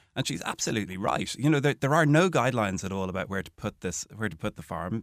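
A man with a Dublin accent at a very fast pace, fairly low in pitch, with hardly any pauses. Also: very clean recording, silent background. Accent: Dublin Irish. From Ireland, Dún Laoghaire (Dublin). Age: 40s. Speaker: local politician. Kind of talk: radio panel discussion. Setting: studio.

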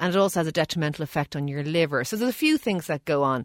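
A woman with an Irish accent talks at a very fast pace and a fairly low pitch. Her pitch varies in an ordinary way, and the sound is dry and close with no echo. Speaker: doctor (GP). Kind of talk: radio health advice segment. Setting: studio in Dublin.

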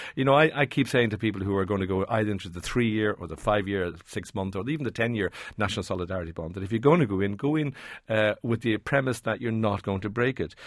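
A man talks at a very fast pace with an Irish accent. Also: fairly low pitch for a man, ordinary pitch variation. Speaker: personal finance expert. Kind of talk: radio advice segment.

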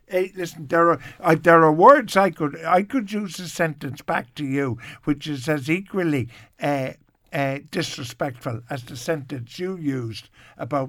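With an Irish accent, the voice moves at a fairly slow pace with ordinary pitch variation in a very clean recording with a silent background. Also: man. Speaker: radio host. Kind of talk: radio chat. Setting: studio. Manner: animated.

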